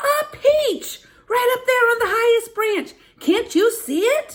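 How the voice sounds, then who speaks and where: Using a put-on character voice, a woman sounds squeaky, with an extremely high pitch and a fairly slow pace. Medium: read story. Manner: harsh, bossy.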